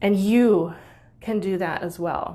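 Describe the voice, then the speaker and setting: A woman with an American accent talks at a fairly slow pace, her medium-pitched voice showing vocal fry. Her pitch varies in an ordinary way. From United States. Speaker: musician and Facebook group host. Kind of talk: personal reflective talk. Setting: online live video.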